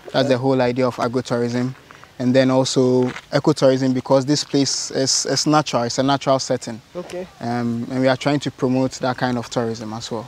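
Monotone, flat intonation in a dry sound with no echo, over light background noise. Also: man. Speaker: farm guide explaining the place. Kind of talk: interview answer. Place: farm machine. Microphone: lapel.

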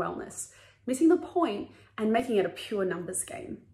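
Pitch swings very widely as a woman talks at a moderate pace. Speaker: wellness course creator.

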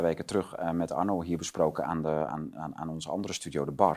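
Over a quiet background, a man speaks at a very fast pace in a very deep, low pitch. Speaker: online talk show host. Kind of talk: political interview talk. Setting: studio. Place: studio.

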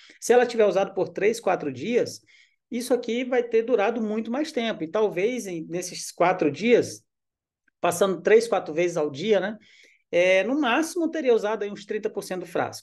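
Over a quiet background, a man speaks in a high voice with lively intonation. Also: moderate pace. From Brazil. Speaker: army officer and essential oils distributor; presenter. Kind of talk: sales pitch. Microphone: webcam.

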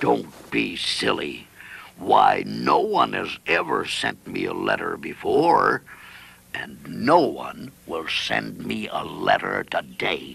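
A man delivers his words very slowly in a raspy, put-on character voice. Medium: cartoon.

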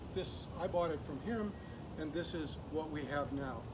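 Fairly slow speech from a man against noticeable background noise. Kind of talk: walkaround commentary. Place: garden. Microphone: camera far.

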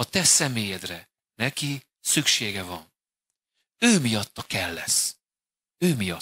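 A man speaks very slowly, stopping for long pauses again and again. His tone is bright and sharp, his pitch swings very widely, and the sound is dry with no echo. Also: medium pitch for a man. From Hungary. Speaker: pastor. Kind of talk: sermon. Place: church. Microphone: handheld.

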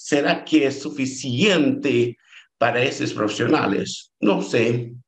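A man talks very slowly against a quiet background. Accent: Brazilian. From Brazil. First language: Portuguese (speaking Spanish). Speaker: doctoral researcher; presenter. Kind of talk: conference talk. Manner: halting. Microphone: video call.

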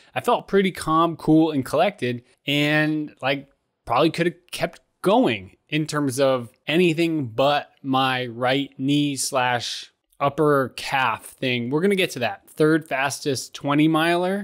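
Very slowly, a man speaks with ordinary pitch variation over a quiet background. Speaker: running vlogger. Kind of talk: casual vlog recap. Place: home room. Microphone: studio mic.

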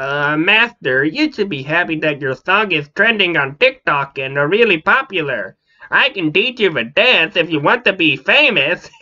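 A put-on character voice at a middle pitch goes on with hardly any pauses. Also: moderate pace. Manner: eager, chatty.

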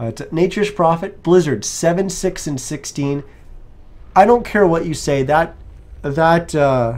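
A man's unremarkable speaking voice with a Canadian accent, a fairly slow pace and lively intonation. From Canada. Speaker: esports caster. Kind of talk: live commentary.

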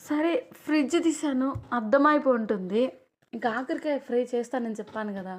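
High female pitch with typical rise and fall. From Andhra Pradesh, near Nellore. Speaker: cooking vlogger. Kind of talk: casual cooking vlog.

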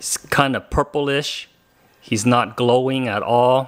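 It is quiet in the background. His intonation stays fairly even. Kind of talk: casual vlog chat. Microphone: phone near.

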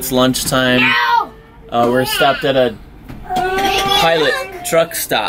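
A man at a moderate pace, with crowd noise in the background. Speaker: family vlogger. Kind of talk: casual vlog chat. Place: home room. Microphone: phone near.

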